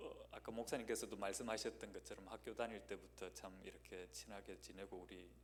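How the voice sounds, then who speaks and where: A man talks at a moderate pace. The room echo around him is audible. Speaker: guest pastor. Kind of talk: sermon introduction, casual personal remarks. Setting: church. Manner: hesitant, many fillers.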